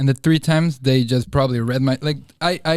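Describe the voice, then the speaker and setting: At a fairly quick pace, a man with a Spanish accent and a medium pitch speaks with ordinary pitch variation on a very clean recording with a silent background. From Bolivia. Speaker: nightlife marketing coordinator. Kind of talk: casual chat.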